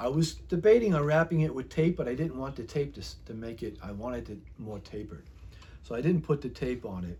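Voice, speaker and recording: Speaking fast-ish with an American accent, a man shows vocal fry at a medium pitch. His intonation is lively, and his loudness swings widely. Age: 60s. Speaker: YouTuber, hobbyist. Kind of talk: casual show-and-tell tutorial. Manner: halting, filler-heavy.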